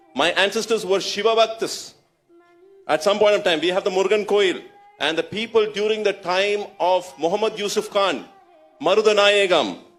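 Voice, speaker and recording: Music plays behind a man with a high voice. His intonation is fairly even and his loudness very even. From Tamil Nadu, India (Tiruchendur area). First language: Tamil (speaking Hindi). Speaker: Islamic preacher / event host. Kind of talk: public Q&A with audience.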